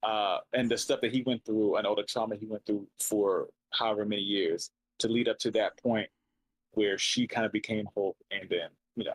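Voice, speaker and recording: Speaking at a moderate speed, this man is recorded close and dry. No echo can be heard. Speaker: podcast host. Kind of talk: casual chat.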